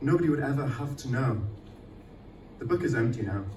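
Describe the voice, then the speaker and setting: Noticeable background noise behind a male speaker, his pitch shifting in a typical way. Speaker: poet. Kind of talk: poetry reading. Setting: live event venue.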